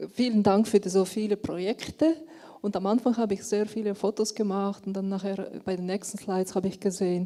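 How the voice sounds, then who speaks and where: A woman speaks at a fairly quick pace in a medium pitch, her tone dark and mellow and her intonation fairly even. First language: German. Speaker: audience member. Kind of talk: audience question. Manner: halting.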